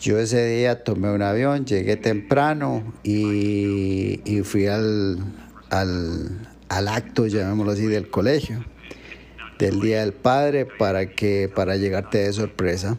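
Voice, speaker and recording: A man's fairly low voice unfolds at a very slow pace. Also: ordinary pitch variation. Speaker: guest, host's father. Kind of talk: casual chat.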